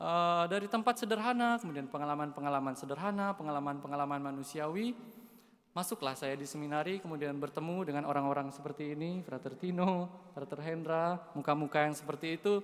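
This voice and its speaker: A man's fairly high voice, lively intonation and a very fast pace. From Indonesia, West Kalimantan (Dayak). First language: Dayak (speaking Indonesian). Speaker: seminarian. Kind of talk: homily. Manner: casual, with hesitations.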